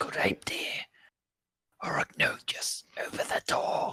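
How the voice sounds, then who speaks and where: A raspy, put-on character voice whispers at a fairly slow pace. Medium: actual play.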